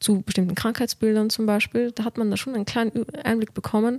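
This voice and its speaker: A woman's voice has a dark, mellow tone. The recording is very clean with a silent background, dry and close with no echo. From Austria, Vienna. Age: 20s. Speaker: medical student. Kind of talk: podcast interview. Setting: studio.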